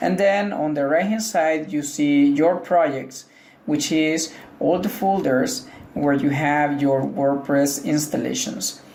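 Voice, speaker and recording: The speech moves at a very slow pace in a Spanish accent. Noticeable background noise runs underneath. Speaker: tech tutorial creator. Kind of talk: tutorial. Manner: casual, hesitant with fillers.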